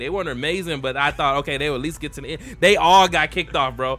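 A man talks at a very fast pace with music playing behind him. His pitch varies in an ordinary way. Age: 30s. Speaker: podcast co-host. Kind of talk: casual chat over beer. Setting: video recording. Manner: animated.

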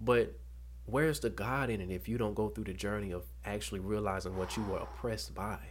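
A man talks at a fairly quick pace with an Alabama accent. His fairly low voice has vocal fry and very wide pitch swings. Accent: Southern US (Alabama). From US South, Dothan, Alabama. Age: 20s. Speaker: college student and former ceremonial guardsman. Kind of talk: personal testimony in interview.

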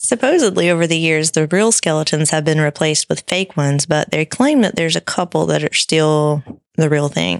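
Delivered at a fairly quick pace with hardly any pauses, the speech holds a very even loudness in a very clean, dry, close recording with a silent background and no echo. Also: woman, very deep, low pitch for a woman, ordinary pitch variation. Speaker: podcast co-host. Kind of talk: casual chat, podcast banter.

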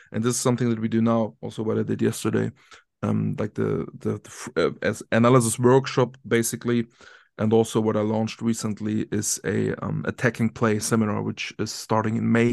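The sound is dry and close with no echo as a man talks fairly quickly. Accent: German. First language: German. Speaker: football tactics analyst and coach. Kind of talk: interview. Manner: halting.

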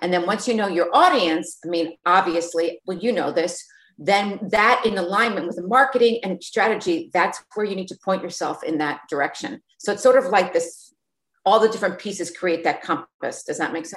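A woman with an unremarkable speaking voice talks at a moderate pace, with ordinary pitch variation and big swings in loudness. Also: medium pitch for a woman. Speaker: entrepreneur, beauty brand founder. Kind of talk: casual interview.

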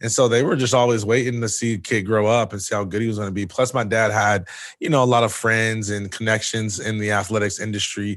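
A man with a normal speaking voice talks at a fairly quick pace and a medium pitch. His intonation is fairly even, and the background is quiet. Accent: American. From Michigan, Jackson. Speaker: former college football player and speaker. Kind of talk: interview.

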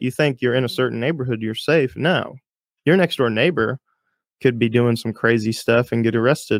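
Recorded dry and close with no echo, a man with an ordinary speaking voice talks fairly quickly at a medium pitch with ordinary pitch variation. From Texas, Houston. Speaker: police officer, podcast host. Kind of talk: casual chat.

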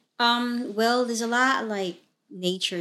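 A woman's bright, sharp voice with a Filipino accent, fairly slow in pace with ordinary pitch variation, on a very clean recording with a silent background. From Mindanao, Philippines. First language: Tagalog. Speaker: podcast host.

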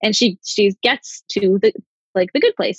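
A woman's fairly high voice comes through somewhat breathy. The sound is dry and close, with no echo. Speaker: podcast co-host. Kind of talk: casual chat.

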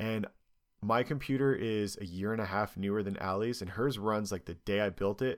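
Using an ordinary speaking voice, a man talks at a moderate pace with fairly low pitch and fairly even intonation in a very clean recording with a silent background. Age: 30s. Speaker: podcast host. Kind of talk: casual chat.

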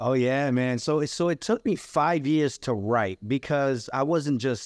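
A man with an American accent, medium in pitch, with ordinary pitch variation and a plain, everyday voice, in a dry, close sound with no echo against a quiet background. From New Bedford, Massachusetts (Cape Verdean family). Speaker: writer and musician. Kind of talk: casual interview.

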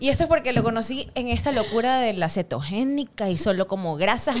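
A woman talks with lively intonation while noticeable background noise carries on. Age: 30s. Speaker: CrossFit gym co-owner. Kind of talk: casual interview.

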